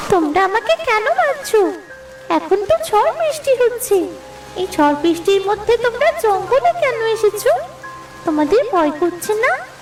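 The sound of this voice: Using a cartoonish character voice, a woman speaks at a moderate pace in an extremely high pitch over clear music in the background.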